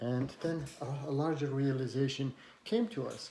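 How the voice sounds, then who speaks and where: Over noticeable background noise, a man talks with a non-native accent. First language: not English. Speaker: community college instructor. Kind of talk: personal talk to camera. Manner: hesitant, many fillers.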